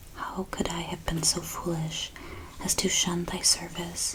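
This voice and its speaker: The voice is soft-spoken and very slow. Noticeable background noise runs underneath. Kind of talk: soft-spoken devotional reading for relaxation.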